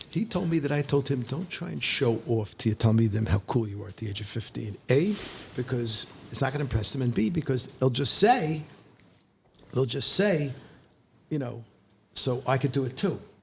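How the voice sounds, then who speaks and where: With lively intonation and long, frequent pauses, a man speaks in a somewhat breathy voice. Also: medium pitch for a man, moderate pace. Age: 60s. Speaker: rabbi and high school teacher. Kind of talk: casual chat. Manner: halting, many false starts.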